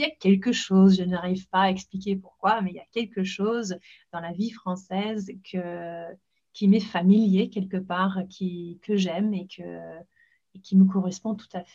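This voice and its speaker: A woman talks at a medium pitch in a dark, mellow, somewhat breathy voice, at a fairly slow pace with fairly even intonation. Her loudness swings widely on a very clean recording with a silent background. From northern England, Leeds (Yorkshire). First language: English (speaking French). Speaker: podcast host and English school founder. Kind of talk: casual chat.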